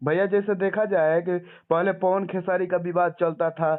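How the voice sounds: The voice moves at a moderate pace with little pitch movement. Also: man, high pitch for a man.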